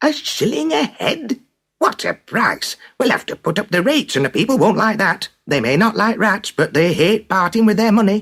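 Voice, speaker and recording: Putting on a character voice, a man speaks with a high pitch and lively intonation. His pace is moderate. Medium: read story.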